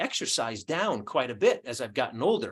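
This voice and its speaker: A man talks in a plain, everyday voice at a fairly high pitch. His pace is fairly quick, and the background is quiet. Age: 60s. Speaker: nutrition researcher. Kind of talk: call presentation. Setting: group call.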